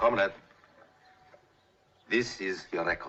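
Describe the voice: Putting on a character voice in a Russian accent, a man speaks slowly at a low pitch with ordinary pitch variation, a bright, sharp tone and a slightly husky edge.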